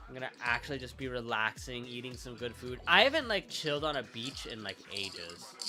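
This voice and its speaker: A medium-pitched man talks fairly quickly with hardly any pauses, ordinary pitch variation and big swings in loudness, over noticeable background noise. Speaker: streamer. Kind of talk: casual chat. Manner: fast; stutter.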